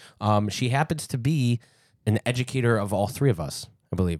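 A man talks in a plain, everyday voice at a moderate pace with ordinary pitch variation. The recording is very clean and silent in the background, with a dry, close sound with no echo. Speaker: podcast host. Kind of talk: casual chat and interview. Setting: studio.

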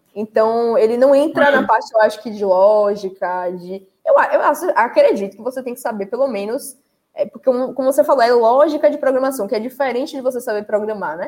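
Talking at a fairly quick pace with hardly any pauses, a woman uses a high pitch. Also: ordinary pitch variation. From Salvador, Bahia, Brazil. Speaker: live stream host, tech content creator. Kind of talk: casual live stream chat. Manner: animated.

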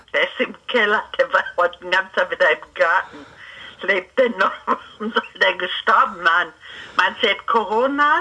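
Over noticeable background noise, a woman speaks with a fairly high pitch, lively intonation and very even loudness. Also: fairly slow pace. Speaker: relative of host. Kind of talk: casual chat.

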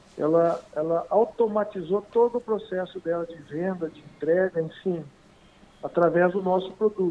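A man with a high pitch talks at a moderate pace, his loudness swinging widely. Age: 40s. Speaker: software company owner. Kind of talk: interview. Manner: halting.

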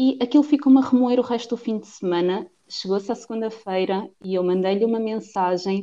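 A woman with a fairly high voice, ordinary pitch variation and a dark, mellow tone speaks with hardly any pauses. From Portugal, Cantanhede (Coimbra district). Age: 20s. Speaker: podcast co-host. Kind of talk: casual chat. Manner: halting.

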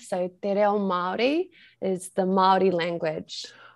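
Against a quiet background, someone with a New Zealand accent speaks at a very slow pace. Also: woman. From New Zealand, far north of the North Island. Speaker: Maori language teacher. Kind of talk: interview conversation.

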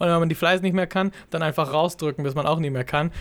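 A man's fairly high-pitched voice with fairly even intonation in a very clean recording with a silent background. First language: not German (speaking German). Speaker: fitness podcast co-host, fitness trainer. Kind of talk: casual chat. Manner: halting, many fillers.

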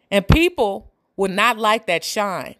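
A woman speaks at a very slow pace with lively intonation. The recording is very clean, with a silent background. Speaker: podcast host and community entertainer. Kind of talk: casual monologue to listeners. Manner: candid, blunt, sometimes loud.

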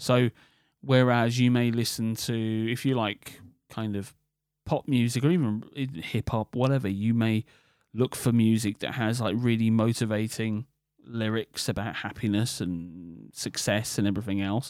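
At a moderate pace, a man with a British accent speaks at a medium pitch with fairly even intonation, on a very clean recording with a silent background and a dry, close sound with no echo. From UK. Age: 40s. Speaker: podcast host. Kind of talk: solo monologue podcast.

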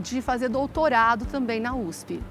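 Noticeable background noise behind a female voice. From interior of São Paulo state (Ituverava). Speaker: physician and business owner. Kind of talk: interview.

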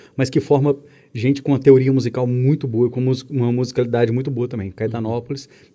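Over a silent background in a very clean recording, a man at medium pitch talks at a fairly quick pace in a monotone, flat delivery. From Minas Gerais, Brazil (Belo Horizonte). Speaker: musician. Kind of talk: casual chat.

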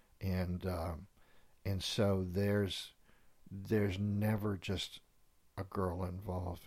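A man's very deep, low voice in a monotone, flat intonation at a fairly slow pace. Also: very clean recording, silent background. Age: 60s. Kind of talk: casual chat with pastoral reflection.

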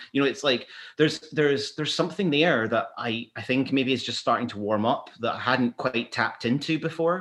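A man with a Glasgow accent talks at a fairly quick pace with hardly any pauses, his fairly high pitch moving with ordinary variation, on a very clean recording with a silent background. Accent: Scottish (Glasgow). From Scotland, Glasgow. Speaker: photographer. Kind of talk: casual chat.

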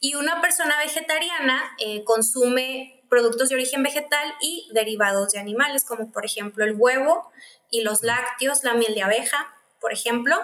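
A woman with a high pitch and ordinary pitch variation talks at a moderate pace. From Mexico, Mexicali (Baja California). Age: 20s. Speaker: physician studying clinical nutrition. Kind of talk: casual interview chat.

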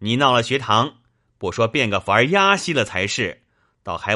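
It is a natural reading voice set against a quiet background.

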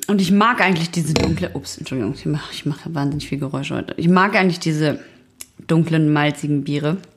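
Over noticeable background noise, a woman speaks at a very fast pace in a very deep, low pitch, with ordinary pitch variation. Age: 40s. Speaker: podcast co-host. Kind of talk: reading aloud; casual chat. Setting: home recording.

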